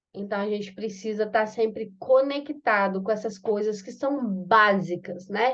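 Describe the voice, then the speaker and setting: The speech is very slow, with lively intonation. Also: woman. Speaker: course facilitator. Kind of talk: online class.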